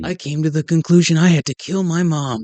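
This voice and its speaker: This is a put-on character voice. It moves along at a fairly quick pace. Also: man, fairly high pitch for a man. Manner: gruff, dramatic.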